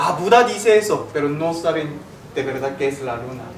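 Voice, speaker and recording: A man with a fairly high voice and lively intonation speaks at a moderate pace amid noticeable background noise and audible room echo. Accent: Korean. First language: Korean (speaking Spanish). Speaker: philosophy teacher. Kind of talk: lecture.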